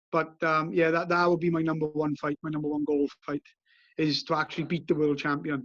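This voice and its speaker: In a Welsh accent, a man talks at a fairly quick pace with a fairly high pitch and flat, monotone intonation, the sound dry and close with no echo. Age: 30s. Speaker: bare-knuckle boxer. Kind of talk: interview. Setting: outdoors on a beach. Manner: halting.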